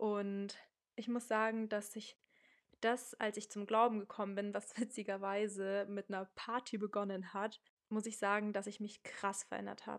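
Monotone, flat intonation from a woman at a medium pitch and a moderate pace. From Munich, Germany. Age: 20s. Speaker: podcast host. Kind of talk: casual monologue. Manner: casual, youthful slang.

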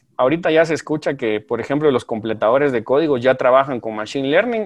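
Speaking in a plain, everyday voice, a man holds a medium pitch with ordinary pitch variation. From Guatemala, provinces. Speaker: software consultant and lecturer. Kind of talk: interview.

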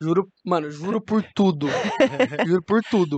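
A man's voice, dry and close, with no echo. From interior of São Paulo state. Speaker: professional beach tennis player. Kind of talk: casual chat.

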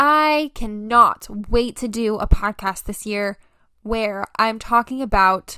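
Very slowly, a woman speaks in a fairly high voice with a bright, sharp tone on a very clean recording with a silent background. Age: 20s. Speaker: solo podcast host. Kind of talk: casual monologue.

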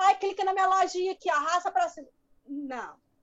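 A woman speaks with an extremely high pitch. Her pitch varies in an ordinary way. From rural Minas Gerais, Brazil. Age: 40s. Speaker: online small-business owner. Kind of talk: interview.

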